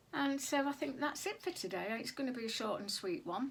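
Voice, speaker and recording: Her intonation lively, a woman speaks with a British accent. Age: 60s. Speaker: sewing vlogger. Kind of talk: casual vlog talk. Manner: hesitant, many fillers.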